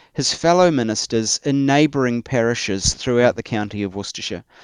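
With a New Zealand accent, a man is talking. His recording sounds dry and close, without any echo. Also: quiet background. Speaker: church historian and author. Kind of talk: interview conversation.

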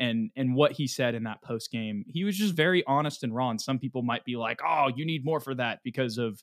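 At a fairly quick pace, a man uses a plain, everyday voice with ordinary pitch variation. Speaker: sports podcast host. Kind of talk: casual sports recap discussion.

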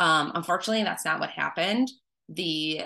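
A woman with an American accent has a fairly low, bright, sharp voice with vocal fry and ordinary pitch variation. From Wisconsin. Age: 30s. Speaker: nurse sharing mental health story. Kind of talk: personal testimony in interview. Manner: frequent hesitations (um).

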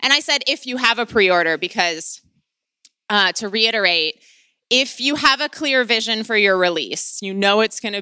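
A woman with a Midwestern US accent, bright, sharp tone and lively intonation, on a very clean recording with a silent background. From US Midwest. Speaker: podcast host and author. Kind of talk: interview podcast intro and conversation.

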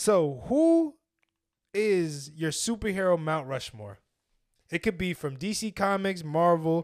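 A man talks at a fairly slow pace with long, frequent pauses, his tone animated and his intonation lively. The recording is very clean, with a silent background. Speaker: podcast co-host. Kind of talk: casual chat.

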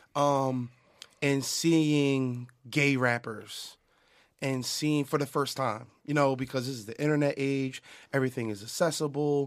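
A man speaks at a fairly slow pace in a fairly high pitch, with fairly even intonation. The recording is very clean, with a silent background. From Philadelphia, US. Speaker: music producer. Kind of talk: casual chat. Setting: studio. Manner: halting, many repeated words.

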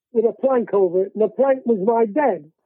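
Speaking at a moderate pace in an English accent, a man uses a high pitch with ordinary variation. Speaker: war veteran. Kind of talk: elderly veteran recounting wartime captivity in plain, unvarnished storytelling. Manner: rambling, conversational, with fillers and repeated words; matter-of-fact about grim hardship.

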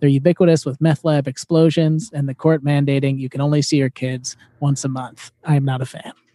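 A dark, mellow tone in an American accent, monotone and flat, at a fairly quick pace with hardly any pauses. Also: man, fairly high pitch for a man, dry, close sound with no echo. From Chicago. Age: 30s. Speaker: comedy podcast co-host. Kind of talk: casual chat.

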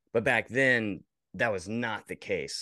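Speaking at a fairly slow pace with an American accent, a man with a fairly low pitch comes through a dry, close sound with no echo over a quiet background. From rural Virginia, US. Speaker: creative director and video editor. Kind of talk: casual interview chat.

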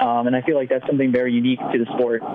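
A man speaks with an American accent. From New Jersey, Princeton. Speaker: ultrarunner. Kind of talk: casual interview.

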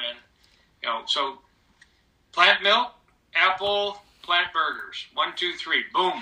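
A man's high voice in an American accent, bright and sharp in tone, at a fairly slow pace. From Michigan, US. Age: 60s. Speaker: cardiologist. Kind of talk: interview.

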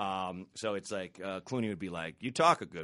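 With an American accent, a man speaks at a moderate pace in a bright, sharp tone. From US Pacific Northwest, Portland, Oregon. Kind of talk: casual chat. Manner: halting, many repeated words.

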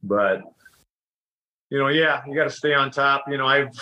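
A bright, sharp-toned man's voice with an American accent. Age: 40s. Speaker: dairy farmer and former wrestler. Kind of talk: casual interview chat.

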